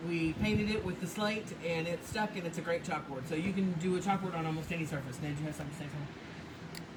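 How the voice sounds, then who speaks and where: With noticeable background noise and audible room echo, a woman of fairly low pitch speaks at a moderate pace with ordinary pitch variation. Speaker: paint brand owner demonstrating products. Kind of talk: livestream painting demo. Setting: Facebook live video. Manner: loud.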